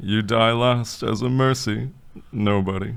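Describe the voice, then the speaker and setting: A man adopts a put-on character voice pitched in the medium range. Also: fairly slow pace. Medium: audio drama. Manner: broken grammar, blunt.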